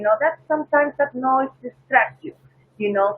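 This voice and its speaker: A woman speaks with a Peruvian accent and ordinary pitch variation. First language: Spanish. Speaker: flight attendant. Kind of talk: interview.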